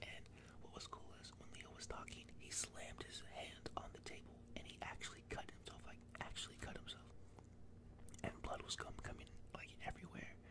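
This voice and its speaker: Amid noticeable background noise, a man whispers at a moderate pace. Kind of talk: ASMR close whisper movie ranking talk. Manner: whispered, close-mic.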